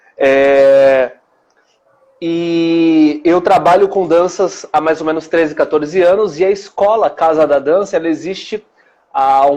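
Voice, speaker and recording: The speaker here is a man. The rise and fall of his pitch is ordinary. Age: 20s. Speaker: dance teacher. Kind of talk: interview.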